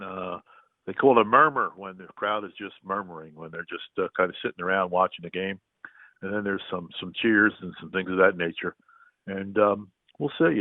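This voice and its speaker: A man talks at a moderate pace in an ordinary speaking voice. His pitch sits fairly low. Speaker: public address announcer for a professional hockey team. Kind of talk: interview answer, casual phone conversation. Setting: phone line.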